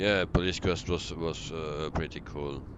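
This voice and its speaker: Speaking with a Dutch accent, a man talks at a fairly slow pace with fairly even intonation. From Belgium. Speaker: flight sim streamer. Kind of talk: casual chat. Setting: live stream. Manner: hesitant, many fillers.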